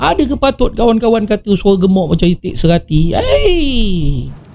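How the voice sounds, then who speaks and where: The intonation is lively as a man talks. His tone is dark and mellow. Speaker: political activist and commentator. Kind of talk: political commentary.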